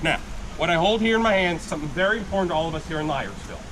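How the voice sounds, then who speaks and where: A loud man with a high pitch, amid noticeable background noise and audible room echo. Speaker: gold panning instructor at tourist camp. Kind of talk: live demonstration to tour group. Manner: loud, projecting.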